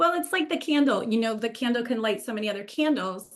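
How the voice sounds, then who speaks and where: Lively intonation marks a woman's unremarkable speaking voice at a fairly high pitch. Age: 60s. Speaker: nonprofit grant consultant and former teacher. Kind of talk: interview.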